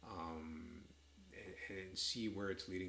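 The speaker has a Canadian accent and fairly even intonation. Audible room echo is present. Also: man. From Canada, east of Toronto. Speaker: doctor and author. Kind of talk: casual chat. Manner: halting.

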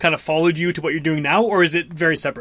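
A man talks with a Canadian accent. His pitch is high. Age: 30s. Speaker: podcast host. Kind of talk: interview.

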